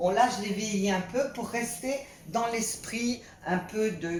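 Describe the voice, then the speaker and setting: Noticeable background noise and audible room echo surround the recording. A woman speaks at a fairly slow pace. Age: 60s. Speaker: vlogger. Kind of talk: home video tutorial. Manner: halting.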